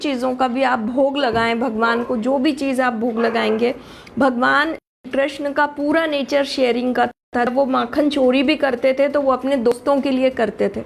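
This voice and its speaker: A woman with a high pitch speaks with hardly any pauses and fairly even intonation. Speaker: astrologer and tarot reader. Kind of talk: live stream talk. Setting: live stream. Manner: halting.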